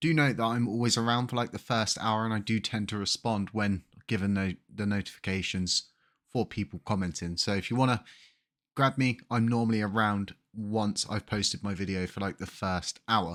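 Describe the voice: A man talks at a moderate pace in a fairly bright tone. His intonation is fairly even, and the recording is very clean with a silent background. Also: fairly low pitch for a man.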